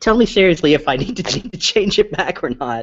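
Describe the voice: Putting on a squeaky character voice, a man talks high in pitch with lively intonation at a fairly quick pace.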